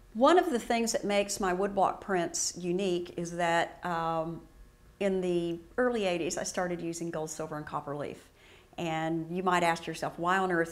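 A woman at a fairly low pitch, ordinary pitch variation and a moderate pace. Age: 60s. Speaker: printmaking artist. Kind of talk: tutorial. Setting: art studio. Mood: warm, enthusiastic. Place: studio.

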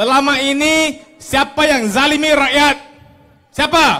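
With noticeable background noise behind him, a man talks very slowly in a raised, projected voice at an extremely high pitch. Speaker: politician. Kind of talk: campaign rally speech. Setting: outdoor stage with audience.

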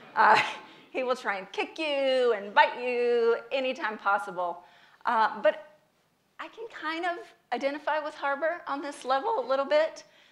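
A woman speaks at a moderate pace with a high pitch. Her pitch swings very widely, and her loudness swings a lot. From US South, North Carolina. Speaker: speaker, patient advocate; speaker. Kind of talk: public talk. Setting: stage with audience. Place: stage.

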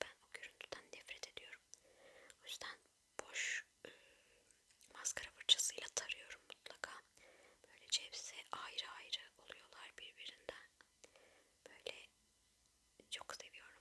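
Whispering in a gentle tone, a woman leaves long, frequent pauses. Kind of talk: ASMR makeup tutorial, whispered narration to camera. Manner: whispered, soft-spoken, gentle.

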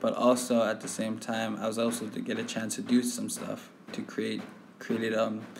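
There is audible room echo and noticeable background noise as a man talks at a moderate pace. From Sahtú region, Northwest Territories, Canada (Dene community). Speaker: youth workshop participant. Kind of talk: personal digital story narration.

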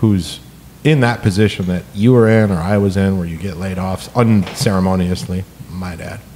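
At a moderate pace, a man speaks in a fairly low pitch with ordinary pitch variation and big swings in loudness, over light background noise. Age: 40s. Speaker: podcast host. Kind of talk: casual chat. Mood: animated, casual, some swearing. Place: home room. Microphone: studio mic.

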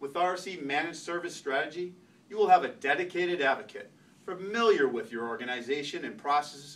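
Here a man talks at a fairly quick pace. His intonation is lively. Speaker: presenter. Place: meeting room. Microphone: camera far.

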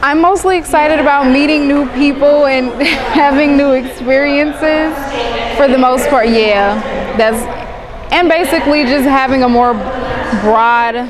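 With noticeable background noise, a woman talks at a fairly slow pace and uses ordinary pitch variation. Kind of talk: interview answer. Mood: cheerful, upbeat. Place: hall. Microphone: lapel.

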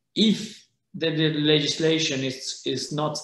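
Male speech with ordinary pitch variation and audible room echo. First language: Spanish. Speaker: holiday rental association president; panelist. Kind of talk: panel discussion. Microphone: webcam.

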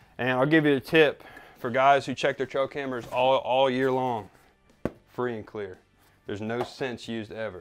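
Faint music plays in the background. A man speaks at a moderate pace with fairly even intonation. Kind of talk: casual tour chat. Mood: relaxed, joking. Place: home room. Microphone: lapel.

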